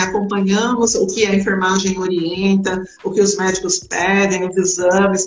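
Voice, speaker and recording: Noticeable background noise sits behind a woman as she talks at a moderate pace. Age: 50s. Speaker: home care agency owner, former caregiver. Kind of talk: live stream interview.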